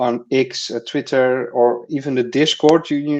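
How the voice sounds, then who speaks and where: Against a quiet background, a man with a Dutch accent speaks with fairly even intonation. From Netherlands. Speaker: crypto community writer. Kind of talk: casual chat. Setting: live stream. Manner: halting, many fillers and repetitions.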